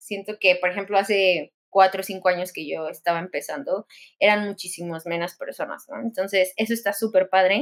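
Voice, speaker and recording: Here is a woman with a plain, everyday voice at a medium pitch with ordinary pitch variation. She talks at a fairly quick pace, her loudness swinging widely. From Mexico. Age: 20s. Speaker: tattoo artist. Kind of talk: interview.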